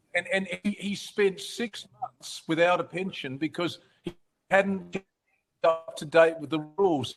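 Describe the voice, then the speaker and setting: A man with an Australian accent speaks at a fairly slow pace in a high voice, with fairly even intonation. His loudness swings widely, and the sound is dry and close with no echo. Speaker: advocacy organisation host. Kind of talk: webinar moderation.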